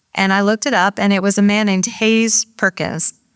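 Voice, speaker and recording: An unremarkable speaking voice from a woman at medium pitch and moderate pace, dry and close with no echo, in a very clean recording against a silent background. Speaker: author. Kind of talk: book talk to a live audience.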